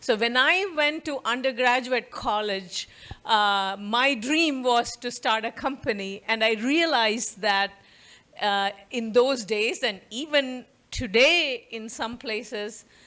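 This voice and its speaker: With an Indian accent, a woman speaks at a high pitch with ordinary pitch variation. Her pace is very slow. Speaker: professor. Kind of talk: lecture.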